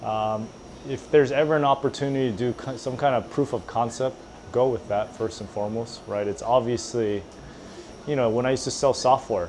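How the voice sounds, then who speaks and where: A medium-pitched man at a moderate pace, with fairly even intonation and noticeable background noise. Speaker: entrepreneur. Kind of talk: casual chat.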